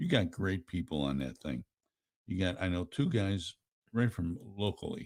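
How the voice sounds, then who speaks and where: Here is a man with an American accent. His pitch is very deep and low. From Buffalo, New York, US. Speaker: radio talk show host. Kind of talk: talk radio discussion. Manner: animated.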